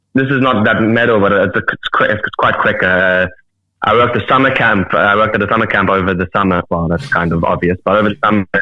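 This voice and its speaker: With a South African accent, a man speaks at a very fast pace and a fairly low pitch, with ordinary pitch variation and very even loudness. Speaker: metal musician. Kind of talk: casual chat. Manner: halting.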